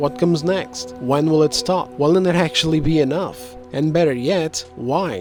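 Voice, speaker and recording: Music plays in the background as the speaker talks at a moderate pace with ordinary pitch variation. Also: man. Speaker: gaming commentator. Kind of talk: opinion commentary. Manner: heated, ranting.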